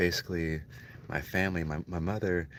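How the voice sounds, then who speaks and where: A man's very deep, low voice carries fairly even intonation. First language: Spanish. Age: 40s. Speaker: livestreamer telling life story. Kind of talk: personal monologue storytelling. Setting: livestream. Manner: casual, halting with repetitions.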